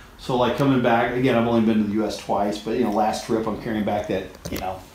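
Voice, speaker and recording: Talking at a very fast pace, a man keeps a medium pitch and monotone, flat intonation, with noticeable background noise and audible room echo. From Kentucky, US South. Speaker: barber. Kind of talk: casual interview chat. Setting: barbershop waiting room bar. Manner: relaxed, conversational with many fillers.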